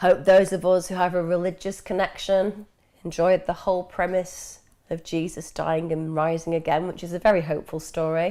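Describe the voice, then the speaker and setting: On a very clean recording with a silent background, a woman with an English accent speaks at a moderate pace in a fairly low pitch, her intonation monotone and flat. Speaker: mental health expert answering viewer questions. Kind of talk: live Q&A stream. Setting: live stream.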